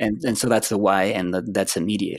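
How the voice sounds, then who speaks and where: A Spanish accent with ordinary pitch variation, on a very clean recording with a silent background. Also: man. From Chile. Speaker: psychology professor. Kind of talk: interview.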